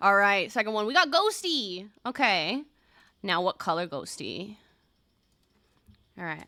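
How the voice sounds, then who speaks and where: A woman with an American accent, medium in pitch and swinging very widely, animated and bright, sharp in tone, at a fairly slow pace broken by long, frequent pauses. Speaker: streamer. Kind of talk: casual gameplay livestream chat. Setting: livestream.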